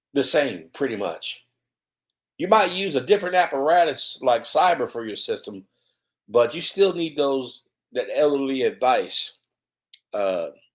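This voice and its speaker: On a very clean recording with a silent background, a man with a Mississippi accent and vocal fry speaks at a fairly slow pace with long, frequent pauses, his fairly high pitch making very wide swings. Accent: Southern US (Mississippi). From US South, Mississippi. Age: 50s. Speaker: cybersecurity author. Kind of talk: solo video commentary. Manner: halting, many fillers.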